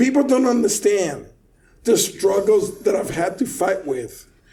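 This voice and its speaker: An animated male voice in a Puerto Rican accent, with lively intonation and a fairly slow pace. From Puerto Rico. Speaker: car audio installer. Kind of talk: casual chat. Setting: studio, recorded in person.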